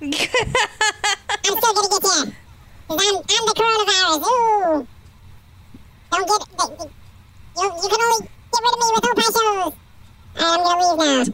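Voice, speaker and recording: An extremely high put-on character voice at a fairly slow pace, with long, frequent pauses. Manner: taunting, mocking.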